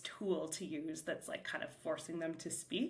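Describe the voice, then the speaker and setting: There is noticeable background noise around this woman. Her fairly low voice keeps a fairly even intonation. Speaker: podcast host, salon owner and mentor. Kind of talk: solo podcast talk. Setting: back room of a shop. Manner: fast; casual, filler-heavy.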